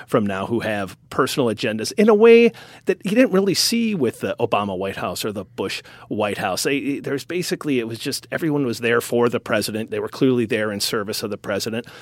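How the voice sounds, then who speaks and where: With a Wisconsin accent, a man of medium pitch talks at a fairly quick pace with lively intonation. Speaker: news editor and media founder. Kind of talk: interview.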